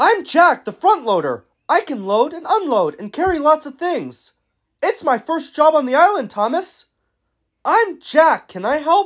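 Someone does a put-on character voice at a high pitch and a moderate pace. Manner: friendly, eager.

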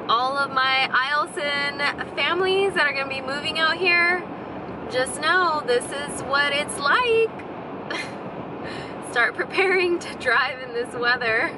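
Over noticeable background noise, a woman speaks in a raised, projected voice at a fairly slow pace, with ordinary pitch variation and long, frequent pauses, in a dry sound with no echo. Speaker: vlogger. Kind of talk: casual vlog chat. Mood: amused, slightly anxious. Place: car. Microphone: phone near.

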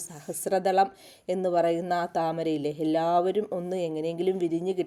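A woman's fairly low-pitched voice with a dark, mellow tone and fairly even intonation. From Kerala, rural area near Vaikom. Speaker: gardening vlogger. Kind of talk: casual vlog narration. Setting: outdoors.

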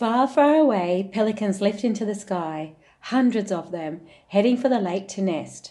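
A woman's plain, everyday voice, medium in pitch, with lively intonation. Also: moderate pace. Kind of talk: picture book read-aloud. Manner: gentle, measured storyteller pacing.

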